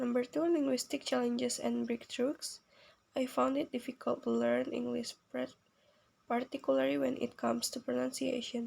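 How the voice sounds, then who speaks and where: Here is a woman with a non-native accent. She speaks at a moderate pace. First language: not English. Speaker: university student. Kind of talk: reading aloud. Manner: halting.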